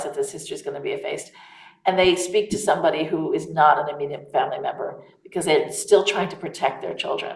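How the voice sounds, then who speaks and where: A woman with an American accent at a fairly quick pace. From United States. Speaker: author. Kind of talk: interview.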